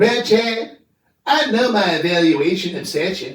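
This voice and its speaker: A man puts on a cartoonish character voice in a Southern accent, high-pitched and at a fairly slow pace, with slight echo. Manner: folksy, bossy.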